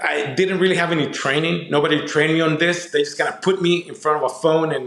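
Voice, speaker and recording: Over noticeable background noise and audible room echo, a man with a Spanish accent speaks at a very fast pace. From Mexico, moved to Southern California as a kid. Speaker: entrepreneur and consultant. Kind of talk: podcast interview.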